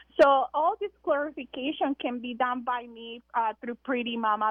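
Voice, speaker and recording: Speaking with a Spanish accent, a woman with a high pitch and lively intonation takes a fairly slow pace. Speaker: breastfeeding consultant, business founder. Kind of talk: radio interview. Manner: hesitant, many fillers.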